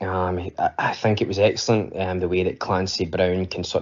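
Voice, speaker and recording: Someone speaks in a Scottish accent. The pace is moderate. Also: man. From Scotland. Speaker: podcast listener leaving voicemail. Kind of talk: voicemail feedback. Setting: voicemail recording. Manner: hesitant, many fillers.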